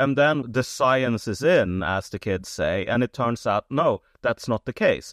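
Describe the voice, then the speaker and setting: At a moderate pace, a man with a Swedish accent swings very widely in pitch, recorded in a dry, close sound with no echo against a quiet background. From Sweden. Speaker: writer. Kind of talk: interview.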